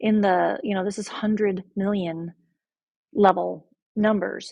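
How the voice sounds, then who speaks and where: A somewhat breathy woman's voice at medium pitch, with ordinary pitch variation and a dry, close sound free of echo. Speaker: math teacher. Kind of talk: lecture.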